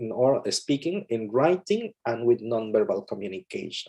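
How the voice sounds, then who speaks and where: At a moderate pace, a man with a Mexican accent speaks in a dark, mellow tone with very wide pitch swings. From Mexico. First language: Spanish. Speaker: English teacher. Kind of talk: webinar talk. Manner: halting, repetitive.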